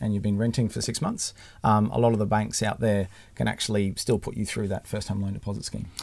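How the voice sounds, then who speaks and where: Speaking at a very fast pace, a man has an Australian accent. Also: very clean recording, silent background. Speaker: mortgage broker. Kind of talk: casual interview.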